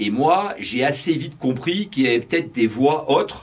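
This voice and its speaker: A man talks with lively intonation at a medium pitch. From France (Brittany). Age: 50s. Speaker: entrepreneur. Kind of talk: interview. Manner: hesitant, many fillers.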